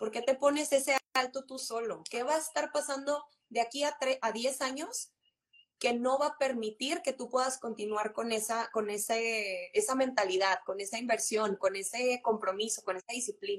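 A woman's high voice moves at a moderate pace with ordinary pitch variation. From Monterrey, northern Mexico. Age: 20s. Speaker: insurance and investment advisor. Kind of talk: casual chat on a live stream. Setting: live stream, remote connection.

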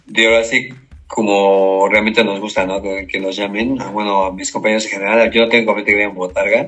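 A fairly low-pitched man speaks fairly quickly in a flat monotone. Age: 50s. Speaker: sports team mascot performer. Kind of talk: interview. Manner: halting.

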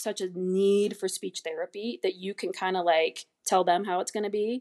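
This woman has an American accent and a medium-pitched voice with fairly even intonation. She talks at a fairly quick pace, with a dry, close sound and no echo. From USA. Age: 40s. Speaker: speech-language pathologist. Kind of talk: casual chat.

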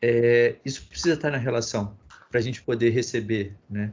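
The man's voice sits at a fairly low pitch. It sounds somewhat breathy. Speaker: podcast host. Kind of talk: moderated discussion.

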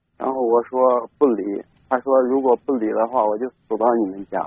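With a medium pitch and fairly even intonation, a man delivers his words at a moderate speed. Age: 20s. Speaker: caller, stone factory worker. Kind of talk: call-in personal story. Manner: halting, many fillers.

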